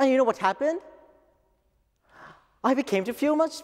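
Over a quiet background, a man talks at a fairly quick pace with an extremely high pitch and lively intonation. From Japan. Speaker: office worker. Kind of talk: English speech contest oration. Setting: lecture hall stage. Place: hall.

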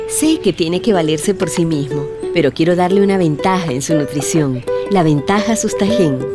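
A woman talks at a medium tempo while clear music plays behind her. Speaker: voice actor. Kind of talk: TV commercial read. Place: studio.

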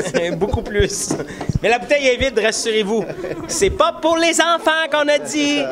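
Amid noticeable background noise, a man talks at a fairly slow pace. His extremely high voice makes very wide pitch swings. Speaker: puppeteer. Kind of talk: interview answer. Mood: playful, joking.

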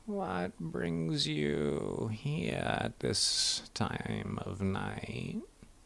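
In a put-on character voice with very deep, low pitch, a man talks at a very slow pace with hardly any pauses, over light background noise. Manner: suspicious, curt.

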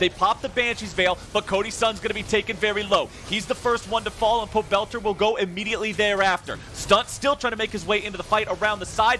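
A man with a high pitch speaks at a very fast pace, barely pausing. His raised, projected voice sounds energetic over noticeable background noise. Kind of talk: esports commentary. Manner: fast, excitable play-by-play; energetic, urgent.

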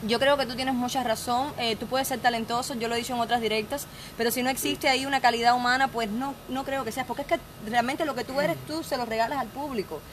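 A woman talks very fast in a high, animated voice. Noticeable background noise sits behind her. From rural Cuba. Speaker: online entertainment show host. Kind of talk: live-stream interview. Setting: outdoor bar terrace. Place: bar. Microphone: phone near.

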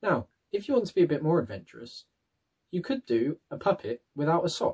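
Fairly quick and somewhat breathy, a man's voice swings very widely in pitch. The background is quiet. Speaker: presenter. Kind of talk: tutorial. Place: home room. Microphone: webcam.

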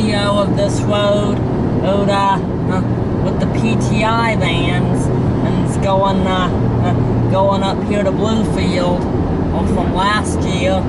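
Over loud background noise, the speaker talks at a very slow pace. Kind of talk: casual road trip commentary. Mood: excited about new state. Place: car. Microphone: camera far.

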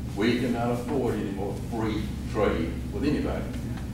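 A man's voice comes through loud background noise and audible room echo. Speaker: political candidate. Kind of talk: campaign speech. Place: hall. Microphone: camera far.

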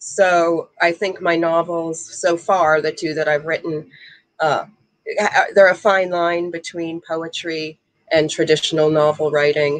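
Over a quiet background, a woman speaks at a fairly low pitch and a fairly slow pace, in a monotone, flat intonation. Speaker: author and ballroom dancer. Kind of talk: casual interview. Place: home room. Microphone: video call.

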